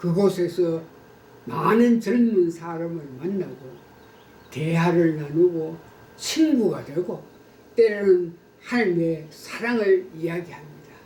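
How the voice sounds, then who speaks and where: Over noticeable background noise, a man with a high voice talks at a very slow pace with ordinary pitch variation and long, frequent pauses. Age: 80s+. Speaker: pastor. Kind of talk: testimony. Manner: formal.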